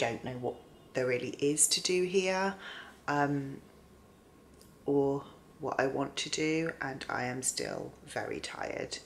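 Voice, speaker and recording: Speaking at a fairly slow pace with long, frequent pauses, a woman uses a very deep, low pitch and ordinary pitch variation. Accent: British. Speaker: book vlogger. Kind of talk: vlog to camera. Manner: rambling, hesitant.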